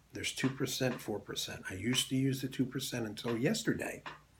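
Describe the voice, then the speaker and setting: A man with an American accent talks at a medium pitch in a somewhat breathy voice. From Philadelphia, US. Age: 70s. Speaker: Air Force veteran. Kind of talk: testimony.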